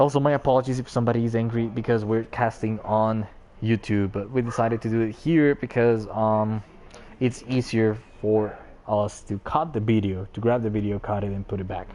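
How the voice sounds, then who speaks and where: A man's medium-pitched voice, dark and mellow in tone, with fairly even intonation and a non-native accent. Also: fairly quick pace. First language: not English. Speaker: esports caster. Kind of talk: live commentary. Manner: casual, joking.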